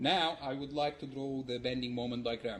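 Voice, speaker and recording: Audible room echo surrounds a man's somewhat breathy voice. He speaks at a medium pitch with fairly even intonation. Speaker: university lecturer. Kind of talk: lecture. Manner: fast.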